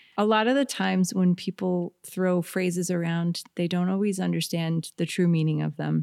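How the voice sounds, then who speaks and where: A woman with a plain, everyday voice speaks at a moderate pace with fairly even intonation. The sound is dry and close with no echo, and she leaves hardly any pauses. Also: fairly low pitch for a woman. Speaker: jazz singer. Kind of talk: casual interview chat. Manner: playful, joking.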